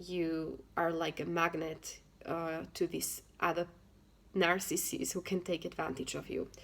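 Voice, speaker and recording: With a non-native accent, a woman talks at a fairly slow pace in a fairly low, flat, monotone voice with vocal fry, on a very clean recording with a silent background. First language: not English. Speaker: self-help vlogger, single mother. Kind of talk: casual talk to camera, advice. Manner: halting, with frequent fillers and restarts.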